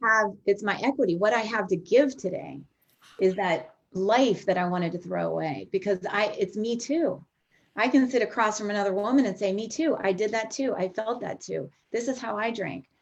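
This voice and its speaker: A woman speaks with vocal fry at a medium pitch. Her pace is moderate. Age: 50s. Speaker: recovering alcoholic sharing her story. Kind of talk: testimony.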